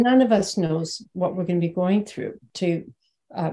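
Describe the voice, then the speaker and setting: A woman speaks with a dark, mellow tone that is somewhat breathy. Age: 70s. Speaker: spiritual teacher. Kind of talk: webinar conversation.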